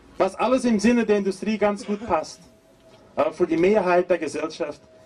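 Amid noticeable background noise, a man with a Portuguese accent speaks in a high pitch. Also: long, frequent pauses. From Brazil. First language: Portuguese (speaking German). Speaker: agroecology professor and activist. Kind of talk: protest speech.

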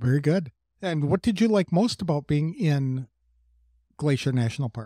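A man with a dark, mellow, somewhat breathy voice speaks at a moderate pace with lively intonation and long, frequent pauses, on a very clean recording with a silent background and a dry, close sound with no echo. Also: fairly high pitch for a man. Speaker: podcast host. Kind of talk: scripted narration.

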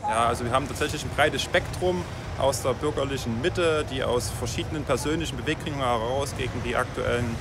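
The recording is dry with no echo and has noticeable background noise, and the speech comes at a fairly quick pace with ordinary pitch variation. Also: man. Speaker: police spokesman. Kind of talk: interview answer. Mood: calm, official, measured. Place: street. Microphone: phone near.

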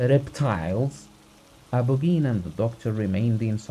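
A reading voice that sounds unforced

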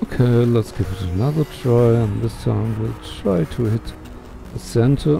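Music can be heard in the background. A man talks, leaving long, frequent pauses. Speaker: let's play gamer. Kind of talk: casual gameplay commentary.

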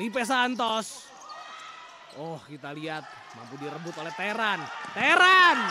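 A man with a high pitch uses a raised, projected voice with very wide pitch swings and big swings in loudness. He goes fairly slowly with long, frequent pauses over noticeable background noise. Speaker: futsal commentator. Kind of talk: live sports commentary. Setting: studio. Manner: clipped, breathless bursts reacting to each chance.

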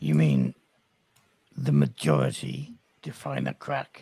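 This man performs a put-on character voice. His pitch sits very deep and low. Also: fairly slow pace. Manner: blunt, dry humor.

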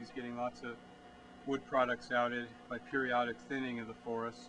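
Over noticeable background noise, the speaker delivers everything in a monotone, flat intonation. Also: man. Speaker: forestry tour guide. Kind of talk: explanatory tour commentary. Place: forest.

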